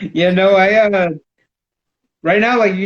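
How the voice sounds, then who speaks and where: A man talking at a fairly quick pace. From Texas, San Antonio. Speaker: artist. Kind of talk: casual chat. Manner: animated.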